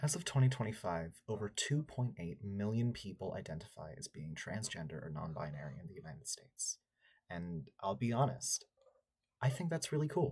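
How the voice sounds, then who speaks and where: This man talks at a moderate pace in a fairly low, somewhat breathy voice, with big swings in loudness and very wide pitch swings. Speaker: college student. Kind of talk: scripted video essay narration.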